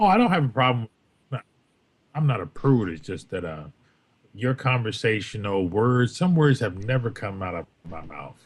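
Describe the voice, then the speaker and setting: A man's voice with very wide pitch swings, big swings in loudness, and long, frequent pauses. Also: medium pitch for a man, moderate pace. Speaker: former co-host. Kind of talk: casual chat. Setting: livestream with chat. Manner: carefully enunciated.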